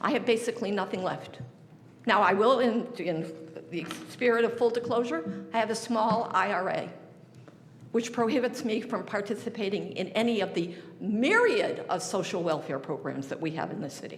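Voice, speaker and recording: With an American accent, a woman with a fairly high pitch speaks at a moderate pace and ordinary pitch variation, amid noticeable background noise and audible room echo. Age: 80s+. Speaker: resident speaking at public hearing. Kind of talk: public comment at budget hearing. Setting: city council meeting. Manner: emotional, pleading; halting, repeated false starts.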